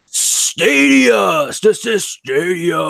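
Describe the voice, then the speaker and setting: A man does a put-on character voice. It sits at a fairly high pitch. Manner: loud, hyped, exaggerated announcing.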